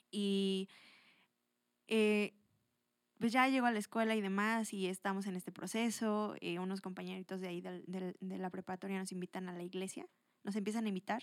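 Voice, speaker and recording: At a moderate pace and medium pitch, a woman speaks with long, frequent pauses in a dry, close sound with no echo. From Mexico, Toluca. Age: 20s. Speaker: churchgoer sharing her faith story. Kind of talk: testimony.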